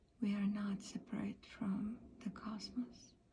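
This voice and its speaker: A soft-spoken woman's fairly high voice, dark and mellow in tone with vocal fry, monotone and flat, at a very slow pace. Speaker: ASMR practitioner and Vedic astrologer. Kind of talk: ASMR astrology session. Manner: soft-spoken, calming.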